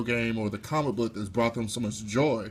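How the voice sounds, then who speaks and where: A man with a normal speaking voice at a fairly quick pace, ordinary pitch variation, on a very clean recording with a silent background. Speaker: interviewer, channel host. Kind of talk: interview questions.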